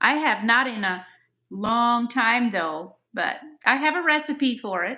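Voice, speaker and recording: At a very slow pace, a woman speaks in a raised, projected voice with very wide pitch swings. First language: Pennsylvania Dutch. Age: 60s. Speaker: host's mother. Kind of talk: live stream chat.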